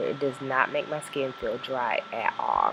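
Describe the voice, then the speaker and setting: A woman's voice, very deep and low in pitch, comes through noticeable background noise. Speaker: skincare vlogger. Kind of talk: casual talk to camera.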